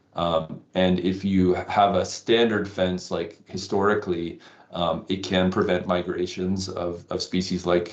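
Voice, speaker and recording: Speaking very slowly in a very deep, low voice, a man with a slight Canadian accent keeps a monotone, flat intonation. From Canada. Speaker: wildlife conservationist. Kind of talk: interview. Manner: halting, many fillers.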